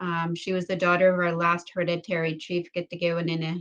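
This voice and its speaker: Her pitch fairly low, a woman speaks with monotone, flat intonation. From Canada, Saskatchewan First Nation. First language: Ojibwe (Saulteaux). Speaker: panelist. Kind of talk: panel introduction. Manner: halting, many fillers. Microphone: unstable connection, dropping out.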